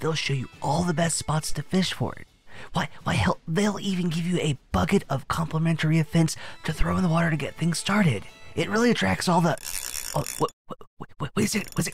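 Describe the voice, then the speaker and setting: A fairly quick pace with music in the background. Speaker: commentary YouTuber. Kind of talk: satirical reaction commentary. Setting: outdoors, fishing.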